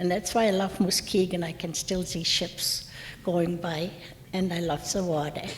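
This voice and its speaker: Monotone, flat intonation from a woman pitched fairly low, at a moderate pace. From Germany (Mainz). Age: 70s. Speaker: war survivor speaker. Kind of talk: talk.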